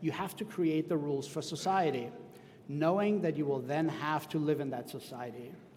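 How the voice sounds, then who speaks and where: A fairly high-pitched man at a moderate pace, with a German accent and ordinary pitch variation. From Austria. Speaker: school superintendent. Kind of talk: commencement speech. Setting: outdoor tent with audience.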